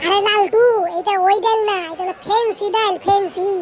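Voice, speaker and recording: A woman's cartoonish character voice, squeaky and extremely high-pitched, at a moderate pace against clear background noise. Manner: wheedling, sheepish.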